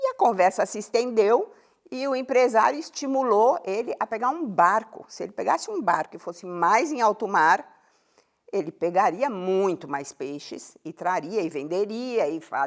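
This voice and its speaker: The woman's voice sits at a fairly high pitch and makes very wide pitch swings. She speaks at a fairly slow pace. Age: 70s. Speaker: happiness science educator. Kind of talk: interview. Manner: storytelling.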